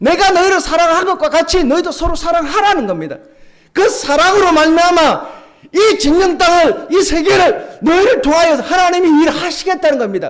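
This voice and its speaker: The speaker uses a Gyeongsang accent at a moderate pace, with ordinary pitch variation and very even loudness. Audible room echo is present. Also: man, extremely high pitch for a man. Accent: Gyeongsang dialect, still uses it. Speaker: pastor. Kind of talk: sermon. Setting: church.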